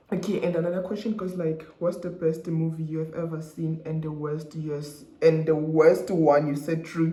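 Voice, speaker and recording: There is audible room echo and noticeable background noise as a man talks in a high pitch. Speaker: YouTuber, law student. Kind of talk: casual vlog. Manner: fast; casual code-switching, hesitant.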